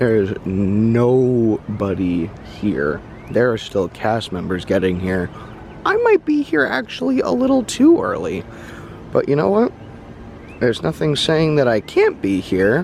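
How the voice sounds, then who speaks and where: A man talks fairly slowly while noticeable background noise fills the recording. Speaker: travel vlogger. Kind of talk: vlog narration. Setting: outdoors. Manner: quiet.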